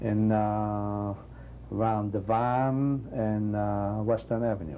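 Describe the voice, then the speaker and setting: The tone is dark and mellow, with fairly even intonation at a very slow pace. Audible room echo surrounds the voice. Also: man, fairly low pitch for a man. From Poland. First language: Yiddish. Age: 60s. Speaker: Holocaust survivor. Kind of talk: testimony.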